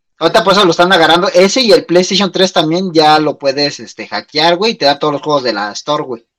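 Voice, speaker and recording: This man talks very fast in a high voice. His intonation is lively. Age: 30s. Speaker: podcast co-host. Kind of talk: casual chat.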